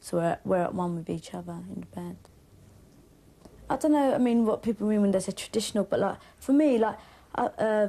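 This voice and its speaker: A woman with a Cockney accent talks at a fairly quick pace, broken by long, frequent pauses. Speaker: band member. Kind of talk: interview. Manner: fast.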